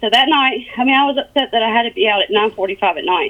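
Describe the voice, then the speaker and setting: A woman talks at a very fast pace in a high pitch. Her voice has very wide pitch swings. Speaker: police officer under internal investigation. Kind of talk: interview testimony. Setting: phone call. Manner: mumbling.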